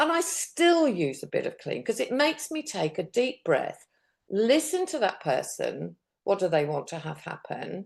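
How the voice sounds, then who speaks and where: At a moderate pace, the speech comes through against a quiet background. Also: woman. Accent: British. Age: 70s. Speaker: diabetes specialist nurse and coach. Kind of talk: interview conversation. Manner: animated.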